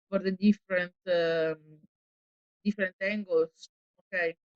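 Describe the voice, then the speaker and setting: The recording sounds dry and close, without any echo. A woman talks at a medium pitch. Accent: Italian. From Italy. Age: 40s. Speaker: actress. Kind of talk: interview. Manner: hesitant, many fillers.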